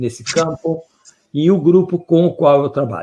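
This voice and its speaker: A man talks against a quiet background. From Brazil. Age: 70s. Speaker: professor and researcher in public health. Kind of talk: conference lecture. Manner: halting, with fillers.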